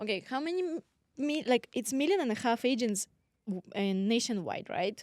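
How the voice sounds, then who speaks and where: A woman with a Russian accent speaks at a moderate pace with very wide pitch swings. The sound is dry and close, with no echo. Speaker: podcast co-host, real estate agent. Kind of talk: casual chat.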